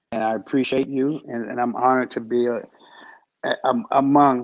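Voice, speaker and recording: A man talks with a slight Washington DC accent. His intonation is monotone and flat. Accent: slight northern (DC). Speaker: business owner. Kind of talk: interview.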